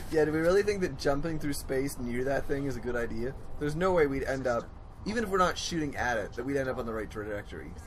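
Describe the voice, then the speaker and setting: Talking at a very fast pace with lively intonation, a man with a fairly high pitch is heard through noticeable background noise and audible room echo. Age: 20s. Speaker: let's play gamer. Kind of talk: casual chat.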